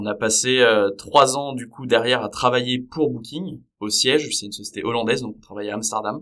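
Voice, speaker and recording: This man speaks at a medium pitch with a bright, sharp tone. His pace is fairly quick, with hardly any pauses and ordinary pitch variation. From Paris region, France. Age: 30s. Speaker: startup co-founder. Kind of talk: podcast interview. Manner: hesitant, many fillers.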